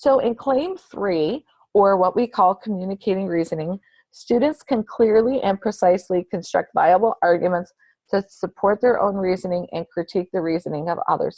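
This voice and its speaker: A woman speaks with a normal speaking voice at a medium pitch. Her pace is moderate, with ordinary pitch variation. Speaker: state education official presenting a webinar. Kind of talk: recorded instructional webinar presentation.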